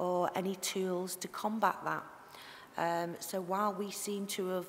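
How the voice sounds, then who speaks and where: There is light background noise behind this woman. She speaks very slowly with a Liverpool accent. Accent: Scouse (Liverpool). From Liverpool area. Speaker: tissue viability nurse giving a conference talk. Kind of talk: conference talk. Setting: stage, presentation to an audience. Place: hall. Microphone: headset.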